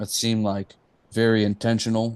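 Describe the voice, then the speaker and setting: This man speaks with a Texan accent at a fairly quick pace. His pitch is fairly low. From East Texas. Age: 30s. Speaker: musician. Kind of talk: casual interview chat.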